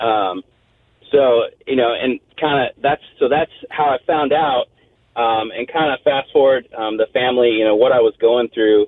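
A plain, everyday voice that moves at a moderate pace with ordinary pitch variation. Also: man, medium pitch for a man. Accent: American. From US South, Tennessee (Crossville). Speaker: Navy veteran and golf fan. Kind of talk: interview. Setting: phone call.

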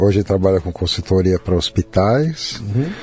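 Noticeable background noise surrounds the recording. A man speaks with lively intonation. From Brazil, São Paulo. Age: 50s. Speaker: Japanese cuisine chef. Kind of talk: casual interview conversation.

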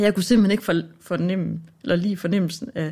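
A woman speaks at a moderate pace and medium pitch with a dark, mellow tone. Her voice carries vocal fry. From Denmark. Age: 40s. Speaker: radio producer. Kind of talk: casual chat. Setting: studio.

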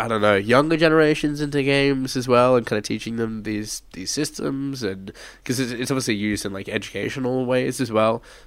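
With an Australian accent, a man talks at a fairly quick pace. His pitch is medium and varies in an ordinary way. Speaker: podcast host. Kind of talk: casual chat.

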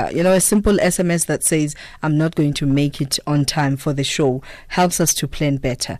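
At a moderate pace, a woman with a very deep, low pitch speaks with fairly even intonation and very even loudness. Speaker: radio host. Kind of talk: radio interview. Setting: radio studio.

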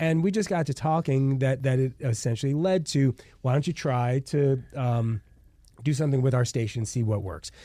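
At a moderate pace, a man talks in a dark, mellow, medium-pitched voice with ordinary pitch variation, recorded very cleanly against a silent background. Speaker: lawyer and radio host. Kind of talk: casual radio interview.

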